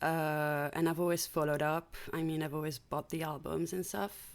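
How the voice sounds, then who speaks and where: A woman speaks with a French accent. Her pitch is fairly low. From France. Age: 30s. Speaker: longtime fan. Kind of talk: casual chat.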